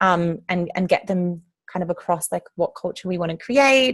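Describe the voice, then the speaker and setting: Here, a woman speaks in a fairly low pitch. Her pace is moderate. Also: quiet background. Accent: Australian. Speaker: activist group trainer. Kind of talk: training session. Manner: many filler ums.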